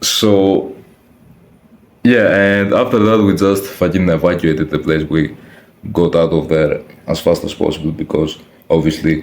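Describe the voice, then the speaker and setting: This man has a very deep, low pitch and a non-native accent. He talks at a fairly slow pace with ordinary pitch variation. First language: not English. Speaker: youtuber, personal vlogger. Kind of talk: casual personal storytelling to camera. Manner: casual, slangy with hesitations and restarts.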